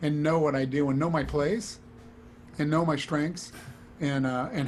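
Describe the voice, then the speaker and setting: This man has an unremarkable speaking voice, fairly high in pitch. He talks at a fairly quick pace with ordinary pitch variation. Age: 60s. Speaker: studio trumpet player. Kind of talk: casual interview chat.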